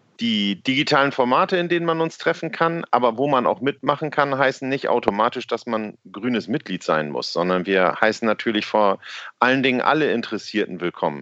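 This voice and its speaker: Fairly quick speech from a man with very wide pitch swings, in a dry, close sound with no echo. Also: medium pitch for a man. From Worpswede area, northern Germany. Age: 40s. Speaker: local party spokesperson. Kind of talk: casual interview.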